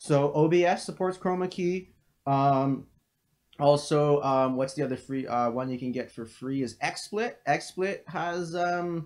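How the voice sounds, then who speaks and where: The background is quiet as a man talks at a fairly slow pace. His pitch varies in an ordinary way. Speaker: crypto trading analyst streamer. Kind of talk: live stream Q&A. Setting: home live stream, living room. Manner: casual with many fillers.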